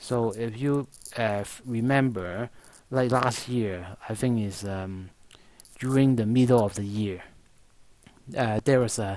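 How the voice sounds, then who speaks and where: Long, frequent pauses break up a man's fairly slow speech, delivered at a medium pitch with fairly even intonation and a non-native accent. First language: not English. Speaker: stock market analyst. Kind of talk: market analysis monologue. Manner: halting, many fillers.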